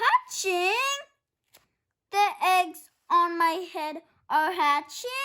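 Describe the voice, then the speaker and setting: Using a put-on character voice, a woman speaks at a very slow pace in an extremely high pitch, with long, frequent pauses. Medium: read story. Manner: fretful, whiny.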